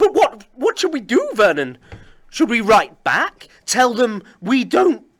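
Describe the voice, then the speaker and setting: Using a put-on character voice, a man speaks shakily at an extremely high pitch, with very wide pitch swings and a fairly slow pace. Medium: read story. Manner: quivering, stammering.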